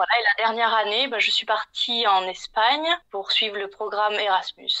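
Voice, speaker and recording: Her pitch fairly high and her pitch variation ordinary, a woman talks at a moderate pace. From southeastern France (Var, near Marseille). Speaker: interior design consultant, former civil engineer. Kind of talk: podcast interview. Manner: hesitant, many fillers.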